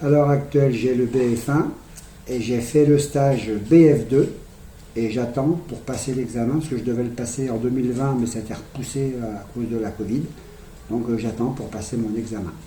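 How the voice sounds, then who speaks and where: Fairly even intonation and long, frequent pauses mark this speech, heard with audible room echo. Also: man, medium pitch for a man, moderate pace. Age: 60s. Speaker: petanque referee and youth coach. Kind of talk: interview. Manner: halting.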